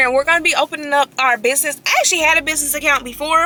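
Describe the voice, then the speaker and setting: A woman with a raised, projected voice talks at a very fast pace with fairly even intonation, noticeable background noise behind her, and a dry, close sound with no echo. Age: 20s. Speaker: vlogger and real estate agent. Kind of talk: casual vlog talk. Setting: in a car.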